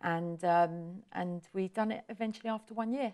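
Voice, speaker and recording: A woman's dark, mellow voice with an English accent and fairly even intonation, on a very clean recording with a silent background. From southern England, Portsmouth. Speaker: hair salon owner. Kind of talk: interview.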